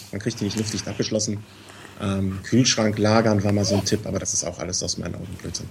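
Over noticeable background noise, a man speaks at a very fast pace in a fairly low pitch with monotone, flat intonation. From Cologne, Germany. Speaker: listener guest, hobby cyclist. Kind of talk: casual chat.

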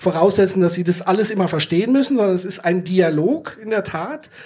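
A man talks at a moderate pace. His pitch is high. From Würzburg, Franconia. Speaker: podcast host. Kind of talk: live podcast discussion. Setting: theatre stage with audience.

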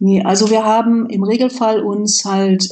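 A woman speaks in a fairly high pitch at a fairly slow pace. Her voice is somewhat breathy. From Westphalia, Germany. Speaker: IT manager and foundation board member. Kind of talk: interview.

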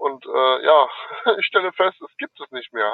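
A man is speaking. His pace is moderate. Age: 40s. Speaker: amateur referee, listener. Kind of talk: voice message. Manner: hesitant, many fillers.

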